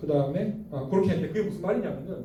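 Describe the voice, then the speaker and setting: A man speaks in an animated tone with very wide pitch swings. Noticeable background noise runs underneath. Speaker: bible teacher. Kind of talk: lecture. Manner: fast.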